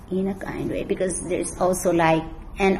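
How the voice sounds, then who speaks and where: A woman keeps to a moderate pace while noticeable noise fills the background. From Philippines, Mountain Province. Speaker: school librarian. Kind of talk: interview.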